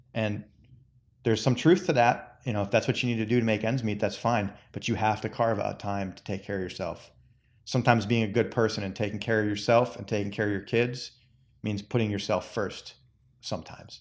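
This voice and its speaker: This man has a normal speaking voice, fairly low in pitch, with fairly even intonation at a fairly quick pace. The recording is very clean, with a silent background. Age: 40s. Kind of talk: casual chat.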